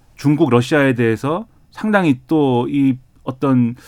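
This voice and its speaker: The recording is very clean, with a silent background behind the man speaking. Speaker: political commentator. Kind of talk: panel discussion.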